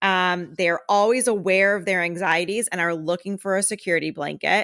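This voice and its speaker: On a very clean recording with a silent background, a woman talks at a moderate pace and medium pitch with ordinary pitch variation. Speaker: podcast co-host. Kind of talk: reading aloud; casual chat. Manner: loud.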